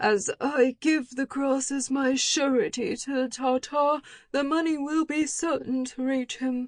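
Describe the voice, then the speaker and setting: A woman in a put-on character voice speaks high-pitched at a fairly slow pace with hardly any pauses, in a dry, close sound with no echo. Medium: read story.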